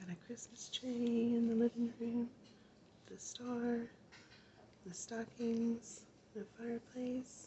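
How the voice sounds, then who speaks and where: A soft-spoken woman with an American accent talks at a very slow pace, with long, frequent pauses and a fairly high pitch. Her intonation is monotone and flat, and background noise is noticeable. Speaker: ASMR artist. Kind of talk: bedtime story reading.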